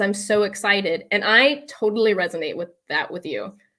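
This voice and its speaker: A woman's bright, sharp voice with a fairly high pitch, ordinary pitch variation, a moderate pace and an American accent. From Texas, McAllen. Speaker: leadership and public speaking coach. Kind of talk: live webinar training. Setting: live online broadcast. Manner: animated.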